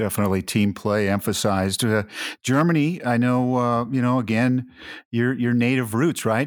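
On a very clean recording with a silent background, a man speaks in an unremarkable speaking voice at medium pitch, with ordinary pitch variation and very even loudness. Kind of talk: podcast hosting.

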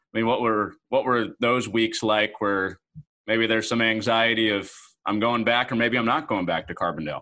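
A man with a plain, everyday voice speaks at medium pitch and a moderate pace, keeping fairly even intonation and very even loudness. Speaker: podcast host. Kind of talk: casual interview.

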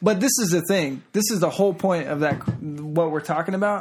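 The speaking pace is moderate, and music plays in the background. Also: man. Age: 20s. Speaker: podcast co-host. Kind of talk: casual chat.

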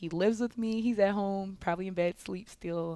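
This is an unremarkable speaking voice from a woman. Her pitch is medium, with ordinary pitch variation. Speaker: college basketball player. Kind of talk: interview. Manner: casual with frequent fillers.

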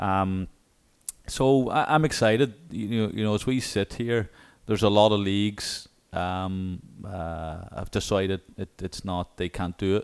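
With an Irish accent, a man talks at a fairly low pitch with ordinary pitch variation on a very clean recording with a silent background. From Ireland. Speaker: college soccer coach. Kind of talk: interview. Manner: hesitant, many fillers.

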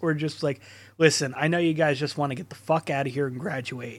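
On a very clean recording with a silent background, a man with a plain, everyday voice speaks in a fairly high pitch with fairly even intonation. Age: 30s. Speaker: podcast host. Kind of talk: casual chat.

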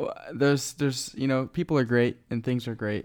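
Very cleanly recorded against a silent background, a man with an American accent and an ordinary speaking voice talks at a moderate pace with fairly even intonation. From Florida, Cuban family. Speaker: podcast guest. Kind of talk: casual chat.

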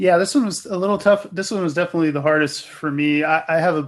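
Over a quiet background, a man with a plain, everyday voice talks at a fairly quick pace with ordinary pitch variation. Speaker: tech podcast co-host, developer. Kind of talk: casual tech podcast chat. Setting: video call.

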